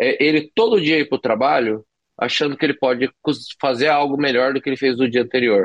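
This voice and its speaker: At a fairly quick pace, a man with a plain, everyday voice speaks in a medium pitch with ordinary pitch variation. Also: very even loudness. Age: 40s. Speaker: chef and poker player. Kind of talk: interview.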